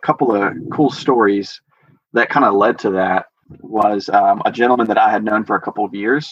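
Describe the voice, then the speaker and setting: With an American accent and an ordinary speaking voice, a man talks at a moderate pace and a fairly low pitch. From US South, Georgia. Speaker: house church leader. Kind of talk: interview testimony. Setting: video call.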